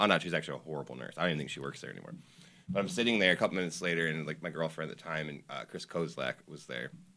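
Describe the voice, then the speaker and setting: A man with a very deep, low voice talks very fast with an American accent, his tone bright and sharp. His loudness swings widely, vocal fry creeps in, and his pitch varies an ordinary amount. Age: 30s. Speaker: old friend, cook. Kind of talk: casual chat.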